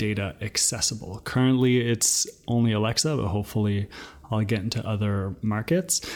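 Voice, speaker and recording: Music plays in the background as a man speaks. He goes at a fairly slow pace with ordinary pitch variation. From New Brunswick, Canada (Acadian). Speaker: founder of a voice data company. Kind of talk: podcast interview, recorded answers.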